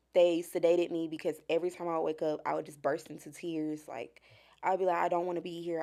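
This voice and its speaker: The voice has a dark, mellow tone. It is a very clean recording with a silent background. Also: woman. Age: 20s. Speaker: mental health advocate. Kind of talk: testimony.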